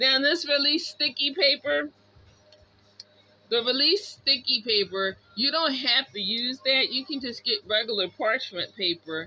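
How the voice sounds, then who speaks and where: A woman speaks loudly at a fairly slow pace. Her high voice swings very widely in pitch. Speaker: craft tutorial youtuber. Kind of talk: tutorial. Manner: animated.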